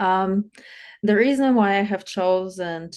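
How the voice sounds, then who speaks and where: A woman talks with a Polish accent and ordinary pitch variation. The background is quiet. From Poland. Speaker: life coach. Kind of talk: interview.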